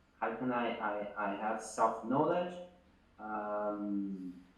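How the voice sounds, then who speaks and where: Noticeable background noise and audible room echo accompany a man's speech. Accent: non-native. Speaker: business founder. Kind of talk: interview. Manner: halting.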